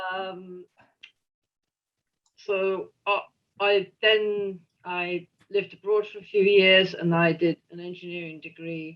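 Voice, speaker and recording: Fairly even in intonation, a woman speaks at a fairly slow pace. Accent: strong English. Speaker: historian and retired engineer. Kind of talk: lecture. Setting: video call. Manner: hesitant, many fillers.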